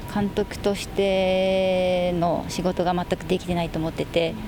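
Noticeable background noise surrounds this recording. A woman speaks in a fairly low pitch. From Okinawa, Japan. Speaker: women's football player-coach. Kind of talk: radio interview.

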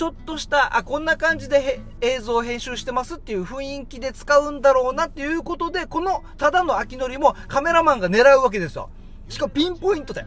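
With music in the background, a man speaks fairly quickly at an extremely high pitch with ordinary pitch variation, big swings in loudness, and hardly any pauses. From Okinawa, Japan. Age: 30s. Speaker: radio podcast host. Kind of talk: casual chat.

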